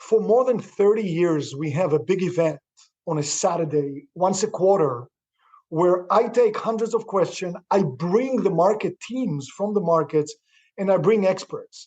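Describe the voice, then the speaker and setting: The pace is fairly slow, with ordinary pitch variation, in a non-native accent. The tone is dark and mellow. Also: man, high pitch for a man. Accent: foreign. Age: 60s. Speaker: real estate investor. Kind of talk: interview. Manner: enthusiastic.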